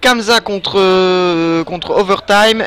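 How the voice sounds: A man with a high pitch speaks in a fairly bright tone with fairly even intonation.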